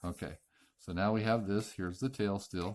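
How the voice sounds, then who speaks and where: There is ordinary pitch variation as this man speaks. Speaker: origami tutorial maker. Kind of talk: tutorial. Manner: slow.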